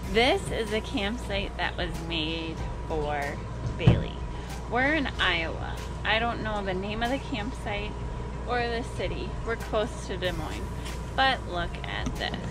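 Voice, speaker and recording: Loud music plays in the background. The speaker leaves long, frequent pauses. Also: fairly slow pace. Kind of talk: casual vlog chat. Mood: playful, joking enthusiasm. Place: open country. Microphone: phone near.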